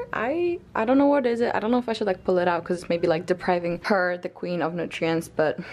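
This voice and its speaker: A woman's voice swings very widely in pitch. Noticeable background noise is present. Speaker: lifestyle vlogger. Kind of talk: casual vlog monologue. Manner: fast.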